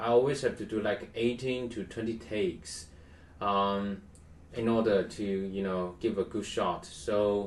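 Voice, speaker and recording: Someone speaks at a fairly slow pace with a non-native accent, with audible room echo around the voice. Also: man, fairly low pitch for a man, fairly even intonation. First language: not English. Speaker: tech tutorial youtuber. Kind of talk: tutorial. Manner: halting, many fillers. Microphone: poor quality webcam.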